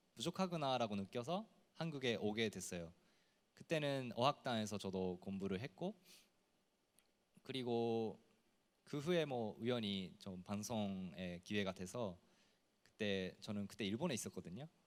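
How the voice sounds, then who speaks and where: A man speaks with a Japanese accent at a fairly low pitch and a fairly slow pace. His intonation is lively, broken by long, frequent pauses. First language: Japanese (speaking Korean). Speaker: TV personality. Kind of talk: panel discussion.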